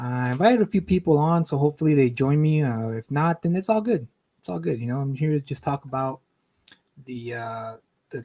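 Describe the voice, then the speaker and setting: Quiet and dark in tone, a man talks at a moderate pace with a mellow sound and ordinary pitch variation. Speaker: comic book creator and streamer. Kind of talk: live stream chat. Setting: at home, live stream. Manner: speaking quietly.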